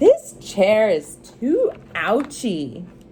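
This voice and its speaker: A put-on character voice, female-sounding and fairly high in pitch, over clear background noise. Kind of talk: bedtime story. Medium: read story.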